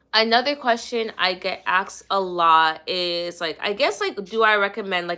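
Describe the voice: A woman speaks at a fairly slow pace in a medium pitch, her bright, sharp tone showing ordinary pitch variation.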